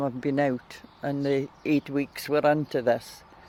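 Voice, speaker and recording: This man speaks fairly slowly in a fairly high pitch, his intonation monotone and flat. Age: 70s. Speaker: community service user. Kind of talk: testimony.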